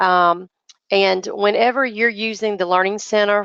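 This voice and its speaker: Speaking with a North Carolina accent, a woman uses a medium pitch. She keeps a moderate pace. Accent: Southern US (North Carolina). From North Carolina, US South. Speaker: business and marketing teacher. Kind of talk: online training webinar. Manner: halting, many fillers.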